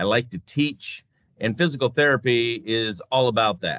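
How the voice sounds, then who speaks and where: An unremarkable speaking voice, a man with an American accent speaks at medium pitch and a fairly slow pace with ordinary pitch variation. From US Midwest, North Dakota. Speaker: physical therapist and clinic CEO. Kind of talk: interview.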